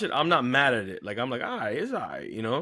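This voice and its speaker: Talking at a very fast pace, a man uses vocal fry while his pitch swings very widely. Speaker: podcast co-host. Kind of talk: casual chat.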